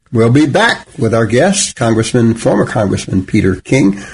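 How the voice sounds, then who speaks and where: A somewhat breathy voice at a moderate pace. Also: man. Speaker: pastor and radio host. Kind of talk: radio talk show, co-host chat.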